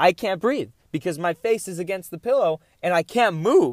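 Animated and lively in intonation, a man speaks at a high pitch and a moderate pace. The recording is very clean with a silent background, the sound dry and close with no echo. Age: 20s. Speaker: podcast host. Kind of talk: solo casual monologue.

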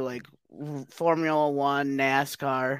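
This very clean recording of a man has a silent background. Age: 20s. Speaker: comedian. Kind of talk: casual chat.

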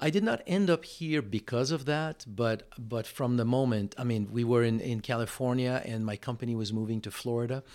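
With a French Canadian accent, the speaker runs on with hardly any pauses, on a very clean recording with a silent background. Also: man, medium pitch for a man, ordinary pitch variation, moderate pace. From Quebec, Montreal. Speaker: stem cell supplement entrepreneur. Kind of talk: interview conversation. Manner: halting, frequent word repetitions.

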